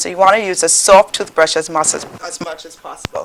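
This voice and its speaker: A woman with a Caribbean accent talks at a fairly quick pace over noticeable background noise. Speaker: dentist, dental school teacher. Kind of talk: educational demonstration on a talk show.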